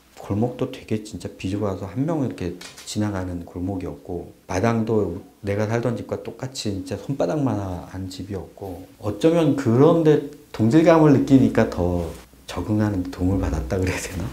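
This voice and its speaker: A man's fairly low voice with lively intonation, moderate pace and audible room echo. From South Korea, Chungcheongbuk-do (Boeun). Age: middle-aged. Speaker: interviewee recalling childhood. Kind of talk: documentary interview.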